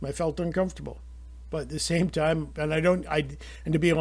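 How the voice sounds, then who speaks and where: Talking at a fairly quick pace, a man speaks with a Canadian accent. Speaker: YouTuber commentator. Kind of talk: opinion monologue. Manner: halting.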